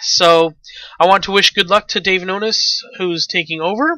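A man with a Canadian accent speaks at a high pitch in a bright, sharp tone. His intonation stays fairly even. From Canada. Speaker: podcast host. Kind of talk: solo podcast commentary.

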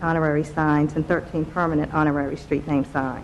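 This is a woman speaking. Noticeable background noise runs behind her voice. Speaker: presenter. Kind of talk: formal presentation to committee. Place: meeting room. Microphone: podium.

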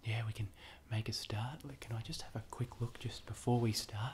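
A soft-spoken man talks at a moderate pace with vocal fry and ordinary pitch variation over light background noise. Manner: soft, hushed ASMR speaking voice. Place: home room. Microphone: webcam.

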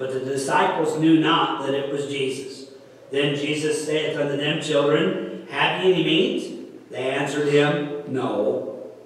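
A man talks at a fairly slow pace, with light background noise and strong room echo around him. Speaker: pastor. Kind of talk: sermon scripture reading. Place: church.

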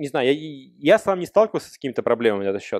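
Lively intonation marks a man's fairly high-pitched voice, heard in a dry, close sound with no echo. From Russia. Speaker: software developer. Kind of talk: Q&A after a talk. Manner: casual, conversational.

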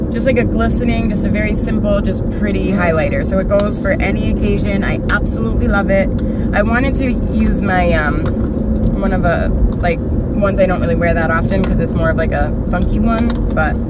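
A woman talks at a fairly quick pace. Loud background noise runs behind her. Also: dry sound with no echo. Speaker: makeup vlogger. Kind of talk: casual vlog chat. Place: car. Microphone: phone near.

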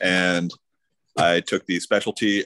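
In an American accent, a man with a very deep, low pitch speaks at a fairly slow pace with monotone, flat intonation against a quiet background. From US Midwest (southern Indiana). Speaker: engineer; interviewee. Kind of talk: webinar interview; interview answer. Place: home room. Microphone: video call.

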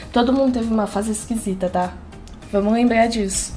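With faint music in the background, a woman talks at a moderate pace with fairly even intonation. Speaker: reaction youtuber. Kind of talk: casual reaction vlog chat. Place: home room. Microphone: headset.

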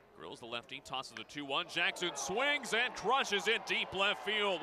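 The man's pitch swings very widely as he talks at a moderate pace, with noticeable background noise throughout. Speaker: baseball radio announcer. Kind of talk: live baseball play-by-play commentary.

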